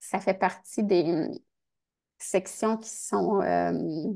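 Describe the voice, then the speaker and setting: Vocal fry runs through a woman's voice. The background is quiet. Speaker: research funding agency advisor. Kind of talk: workshop presentation; Q&A answer in English. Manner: halting.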